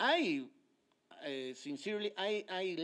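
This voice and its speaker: Against a quiet background, a man with a Mexican accent talks at a very slow pace. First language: Spanish. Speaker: politician. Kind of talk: lecture. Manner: halting, many hesitations.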